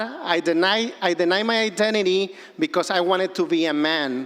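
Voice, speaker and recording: A man with a Mexican accent, high-pitched, at a fairly slow pace with ordinary pitch variation. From Mexico, Acapulco, Guerrero. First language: Spanish. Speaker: filmmaker. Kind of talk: personal storytelling speech.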